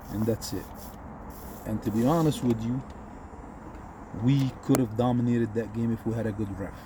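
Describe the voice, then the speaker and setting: A man with an Egyptian accent speaks at a medium pitch. His pace is moderate, with long, frequent pauses. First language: Egyptian Arabic. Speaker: football commentator. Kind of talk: casual commentary. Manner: animated.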